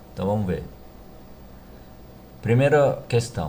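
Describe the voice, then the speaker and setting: A somewhat breathy man speaks with audible room echo. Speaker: math teacher. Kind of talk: tutorial. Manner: halting.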